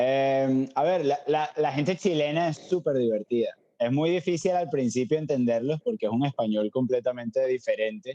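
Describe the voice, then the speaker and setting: A man talks with a fairly high pitch and ordinary pitch variation. His tone is dark and mellow, and his loudness very even. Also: moderate pace. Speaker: cook. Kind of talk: casual chat.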